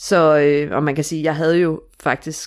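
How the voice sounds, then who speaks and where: Her voice is very deep and low for a woman, with fairly even intonation. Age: 30s. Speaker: stepmother sharing her story. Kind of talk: interview. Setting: home bedroom studio.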